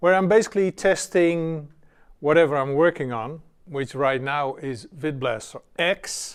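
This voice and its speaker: A man with a non-native accent speaks at a very slow pace. His voice is fairly high, with ordinary pitch variation. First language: not English. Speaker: software developer. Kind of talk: casual tutorial. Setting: home studio with cameras. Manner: hesitant, many fillers.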